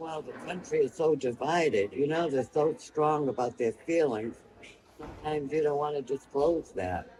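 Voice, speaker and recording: Noticeable background noise behind a man speaking fairly high for a man, at a moderate pace and with ordinary pitch variation. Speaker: senior voter interviewed. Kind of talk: street interview.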